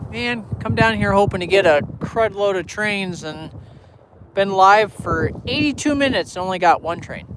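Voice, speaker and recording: Over noticeable background noise, a man with an American accent talks at a high pitch with lively intonation. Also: moderate pace. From Illinois, US. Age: 20s. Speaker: railfan streamer. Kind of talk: casual live stream chat.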